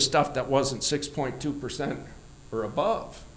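Male speaker with an American accent. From Michigan. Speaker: orchard owner and cider maker; presenter. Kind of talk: conference presentation. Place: hall. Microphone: handheld.

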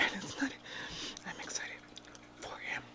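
Noticeable noise sits behind the speaker. She is a woman talking at a moderate pace. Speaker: ASMR mukbang creator. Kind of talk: ASMR mukbang whispered talk. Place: home room. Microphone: studio mic.

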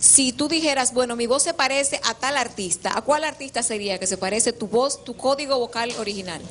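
Against faint background noise, a woman talks at a fairly quick pace in a fairly high, fairly bright voice with ordinary pitch variation.

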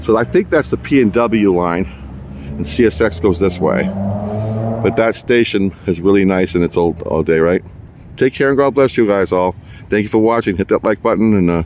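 This man has a normal speaking voice with a fairly low pitch and ordinary pitch variation. He talks at a moderate pace, and the sound is dry with no echo. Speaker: train enthusiast vlogger. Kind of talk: casual vlog chat. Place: street. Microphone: phone near.

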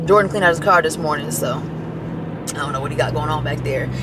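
Noticeable background noise beneath a woman's voice, the sound dry with no echo. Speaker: vlogger. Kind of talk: casual vlog chat. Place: car. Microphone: phone near.

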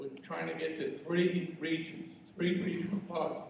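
A man speaks at a moderate pace in a room with audible echo and light background noise. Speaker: candidate. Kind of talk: debate answer. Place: hall.

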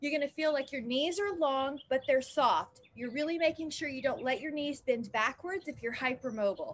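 A woman's high-pitched voice with hardly any pauses. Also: ordinary pitch variation, moderate pace. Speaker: fitness instructor. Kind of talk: exercise class instruction. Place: garden.

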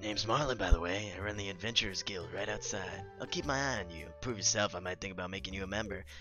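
Over clear background music, a man in a gruff, put-on character voice pitched fairly low rattles along at a very fast pace with hardly any pauses and big swings in loudness. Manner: stern, testing.

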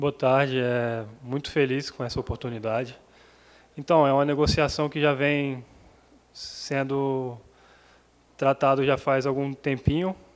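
A man speaks in a flat monotone at a fairly slow pace, with long, frequent pauses. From Brazil. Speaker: professional footballer. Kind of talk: press interview. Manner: halting. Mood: happy, calm. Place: meeting room. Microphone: podium.

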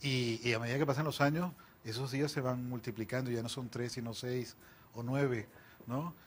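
Somewhat breathy, a man talks at a moderate pace with fairly even intonation over light background noise. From Venezuela, Barquisimeto (Lara) and Caracas; Venezuela. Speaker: novelist; interviewee. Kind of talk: interview. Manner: halting, frequent repetitions. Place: studio. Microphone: lapel.

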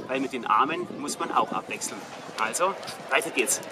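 Noticeable background noise sits behind a man's voice. He talks at a moderate pace with ordinary pitch variation. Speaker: presenter. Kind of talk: fitness tutorial vlog. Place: stadium. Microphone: phone near.

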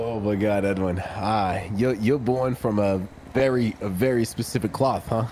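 Speaking at a moderate pace with fairly even intonation and very even loudness, the speaker has a plain, everyday voice. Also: man, fairly low pitch for a man. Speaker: roleplay player. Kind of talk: in-character roleplay.

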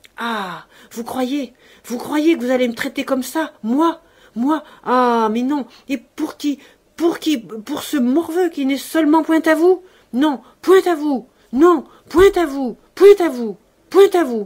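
The speaker uses a put-on character voice, raised and projected but shaky. The pace is fairly slow, broken by long, frequent pauses. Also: woman, high pitch for a woman. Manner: frantic, trembling; confrontational.

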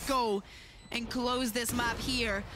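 This woman's high voice, ordinary in pitch variation, comes through with music in the background. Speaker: esports analyst co-caster, colour commentator. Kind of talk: live esports commentary, analysis. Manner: analytical, explanatory, measured with occasional laughter.

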